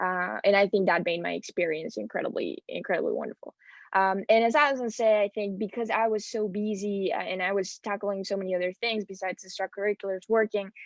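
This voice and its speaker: Speaking very fast with a Spanish accent, a woman keeps a medium pitch and fairly even intonation, recorded with a dry, close sound and no echo. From Spain. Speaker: transfer student panelist. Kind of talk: panel talk.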